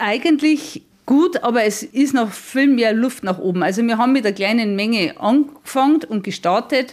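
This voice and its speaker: An unremarkable speaking voice with lively intonation and very even loudness, at a moderate pace with hardly any pauses. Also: woman, fairly high pitch for a woman. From Bavaria, near Regensburg. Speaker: miller, mill owner. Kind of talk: interview.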